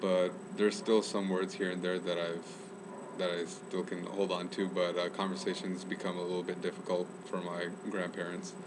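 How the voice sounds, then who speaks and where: Over noticeable background noise and audible room echo, a man with an American accent speaks at a moderate pace in a very deep, low pitch with monotone, flat intonation. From US, Chicago then Northern California. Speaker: student. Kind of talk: casual interview.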